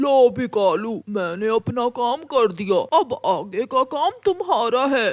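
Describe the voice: A cartoonish character voice talks at a fairly high pitch and a fairly slow pace.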